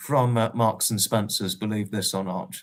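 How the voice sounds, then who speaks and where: A man speaks in a southern English accent. His pace is moderate. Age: 20s. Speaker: livestreamer. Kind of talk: casual chat. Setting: livestream. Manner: halting.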